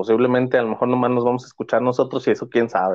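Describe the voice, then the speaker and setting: A man talks in a Mexican accent. His pitch is medium. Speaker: teacher starting a podcast. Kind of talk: casual chat.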